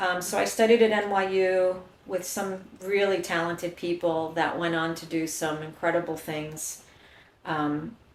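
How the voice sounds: A woman talks at a fairly slow pace and a fairly low pitch, with little pitch movement and audible room echo.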